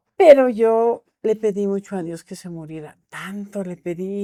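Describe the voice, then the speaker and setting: A woman speaks at a fairly slow pace in a medium pitch, her tone dark and mellow, with ordinary pitch variation. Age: 80s+. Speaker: Santa Muerte devotee and altar keeper. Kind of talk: casual chat.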